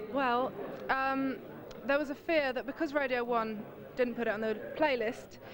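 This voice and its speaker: In an English accent, a woman with a high pitch speaks with fairly even intonation and long, frequent pauses, with audible room echo and crowd noise in the background. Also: moderate pace. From England (born in Brazil, moved at eight). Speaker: singer. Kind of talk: casual interview.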